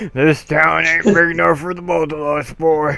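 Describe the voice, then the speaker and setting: A man's put-on character voice, fairly high in pitch, over light background noise. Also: moderate pace. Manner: cartoonish imitation.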